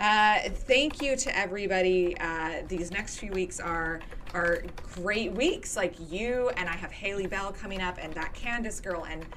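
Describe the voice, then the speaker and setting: Against audible room echo, the voice moves at a fairly slow pace with ordinary pitch variation. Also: woman. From Nova Scotia, Canada. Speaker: podcast host of a tabletop gaming show. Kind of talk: casual interview chat.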